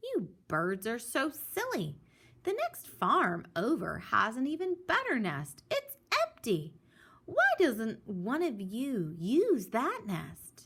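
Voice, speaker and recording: A woman's high-pitched, put-on character voice at a very slow pace. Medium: read story.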